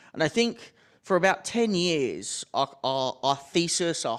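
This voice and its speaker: A very clean recording with a silent background captures a man speaking with an Australian accent. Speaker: tech company executive. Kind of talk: panel discussion. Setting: stage with audience.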